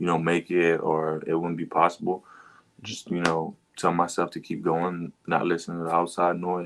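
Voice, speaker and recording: A man speaks at a moderate pace. His very deep, low voice stays monotone and flat. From Quebec. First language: French. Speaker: football player. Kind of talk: podcast interview.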